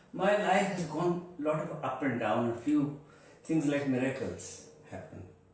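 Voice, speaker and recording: The voice moves at a fairly slow pace with lively intonation, with noticeable background noise and audible room echo. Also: man. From central India. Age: 70s. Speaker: Kathak dancer. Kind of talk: interview storytelling. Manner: halting.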